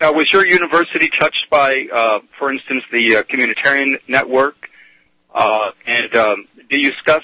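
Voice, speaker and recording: Speaking at a moderate pace, a man with an American accent and a normal speaking voice keeps a medium pitch with ordinary pitch variation. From Texas. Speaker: caller. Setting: phone call.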